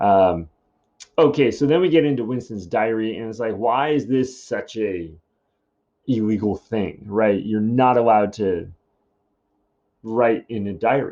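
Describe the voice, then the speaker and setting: Medium pitch from a man, ordinary pitch variation, moderate pace. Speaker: high school English teacher. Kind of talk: recorded lesson. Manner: casual, many fillers.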